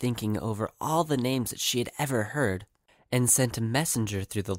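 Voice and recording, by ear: Someone is reading aloud in a natural voice. The pitch variation is ordinary.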